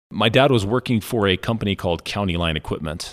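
A man with an American accent speaks at a fairly quick pace. His pitch is very deep and low. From Colorado, San Luis Valley. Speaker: business owner. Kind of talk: interview.

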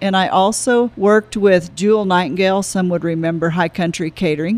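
A woman with an American accent uses an ordinary speaking voice at a fairly low pitch, talking at a fairly quick pace with fairly even intonation and hardly any pauses. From Florida Panhandle. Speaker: cafe owner. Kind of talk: interview.

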